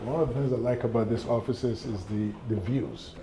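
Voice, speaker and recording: A man with an American accent talks at a fairly quick pace and medium pitch, his intonation fairly even. Noticeable background noise and audible room echo fill the recording. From Ghana. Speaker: plastic surgeon. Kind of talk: office tour; interview, life story. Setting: consultation office.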